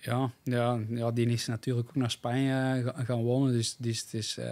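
With a dark, mellow tone, the man speaks in a flat monotone. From Belgium, Essen (Antwerp Kempen); Belgium. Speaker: cyclocross rider; podcast guest. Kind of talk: casual chat. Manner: halting, many repetitions and fillers. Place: studio. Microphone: studio mic.

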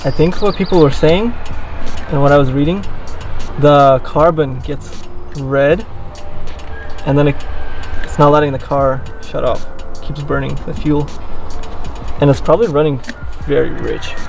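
A man with fairly even intonation and long, frequent pauses, faint music in the background, in a dry sound with no echo. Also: moderate pace. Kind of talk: casual vlog chat. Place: open country.

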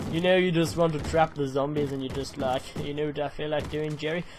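With an Australian accent and a fairly high pitch, a man speaks over light background noise. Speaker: gaming YouTuber. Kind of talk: let's play commentary. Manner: animated. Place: home room.

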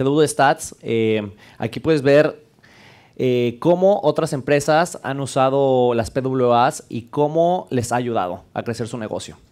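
With ordinary pitch variation, a man talks at a medium pitch. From Mexico, León; Mexico. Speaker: developer advocate; conference speaker. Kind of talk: conference talk. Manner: casual, joking. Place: classroom. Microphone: headset.

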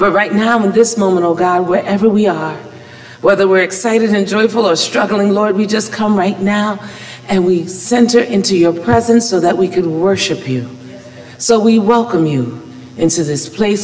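At a moderate pace, a woman talks with lively intonation. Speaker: pastor. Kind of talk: opening prayer and welcome. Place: church. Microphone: podium.

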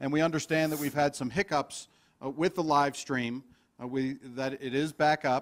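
On a very clean recording with a silent background, a man with an unremarkable speaking voice talks at a moderate pace and fairly high pitch with fairly even intonation. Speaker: event host. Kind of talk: event hosting and introductions. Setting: conference room with live stream.

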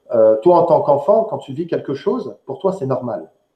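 A man speaks at a moderate pace with very wide pitch swings. The background is quiet, but room echo is audible. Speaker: online show host. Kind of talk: live interview. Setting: live online stream. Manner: hesitant, filler words. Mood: serious, thoughtful. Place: home room. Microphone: headset.

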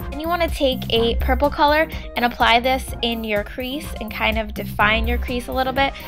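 A woman talks at a fairly quick pace while music plays behind her. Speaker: beauty vlogger. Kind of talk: tutorial voice-over.

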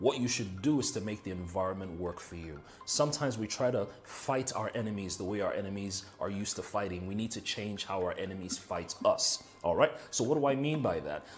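Faint music sits in the background while a man with a fairly low pitch talks at a fairly quick pace with hardly any pauses. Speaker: motivational speaker. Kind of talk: motivational talk. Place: home room. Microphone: lapel.

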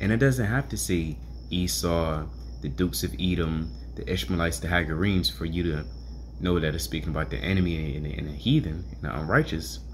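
A man with a very deep, low pitch and vocal fry talks at a fairly quick pace over light background noise. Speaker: bible reader, teacher. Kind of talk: scripture reading with commentary. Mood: earnest teaching tone. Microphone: phone near.

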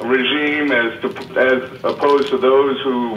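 A man speaks with ordinary pitch variation, with audible room echo and light background noise. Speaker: lawyer advocate for blind people. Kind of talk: meeting statement. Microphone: phone line.

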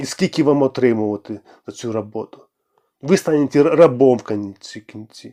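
Dry and close with no echo, a man's dark, mellow voice at medium pitch moves at a moderate pace with ordinary pitch variation and big swings in loudness. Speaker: political candidate. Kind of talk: political monologue.

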